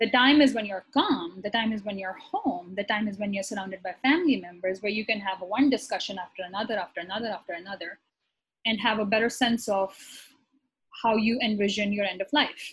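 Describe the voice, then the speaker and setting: The voice is somewhat breathy, its pitch varying in an ordinary way at a fairly quick pace. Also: woman, medium pitch for a woman. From Pakistan, Karachi. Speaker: physician. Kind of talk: casual interview.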